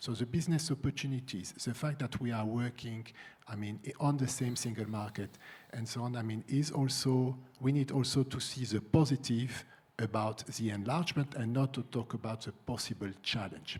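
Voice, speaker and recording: This man speaks at a moderate pace in a medium pitch, somewhat breathy, with fairly even intonation. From France. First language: French. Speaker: EU civil servant, panelist. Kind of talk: conference panel discussion. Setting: conference room with audience. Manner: halting, many fillers and repeats.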